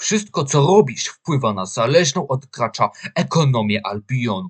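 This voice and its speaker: At a very slow pace, a man speaks at medium pitch. His voice is somewhat breathy. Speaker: voice-over narrator. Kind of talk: video game commercial read. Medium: dub.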